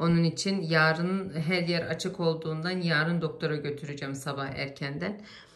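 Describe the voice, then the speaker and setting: A woman's fairly low voice with fairly even intonation and hardly any pauses, amid audible room echo and noticeable background noise. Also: moderate pace. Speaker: family vlogger. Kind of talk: casual vlog to camera. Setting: at home.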